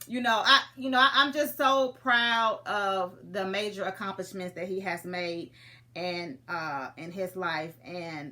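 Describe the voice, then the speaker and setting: A woman with an American accent speaks at a medium pitch and a fairly slow pace, her tone bright, sharp and animated, her intonation lively and her loudness swinging widely. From US Midwest, St. Louis, Missouri. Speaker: comedian. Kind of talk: casual chat.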